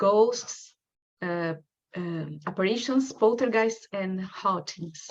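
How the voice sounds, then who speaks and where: With a strong Brazilian accent, a woman talks very slowly, her pitch varying in an ordinary way. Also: medium pitch for a woman. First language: Portuguese. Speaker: researcher. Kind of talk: lecture.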